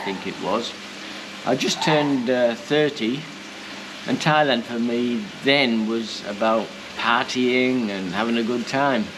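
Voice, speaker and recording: With a British accent, a man speaks at a medium pitch and a fairly slow pace with fairly even intonation, amid audible room echo and noticeable background noise. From UK. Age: 70s. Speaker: retired chef and expat vlogger. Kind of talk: casual vlog talk. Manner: hesitant, many fillers.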